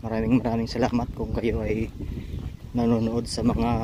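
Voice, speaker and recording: A man's voice with noticeable background noise. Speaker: vlogger. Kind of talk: casual vlog narration. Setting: outdoors, walking in a park.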